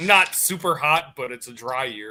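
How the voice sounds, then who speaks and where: Delivered at a very slow pace, a man's fairly high voice carries a strong Wisconsin accent, a bright, sharp tone and lively intonation. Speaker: military veteran, podcast co-host. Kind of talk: casual chat.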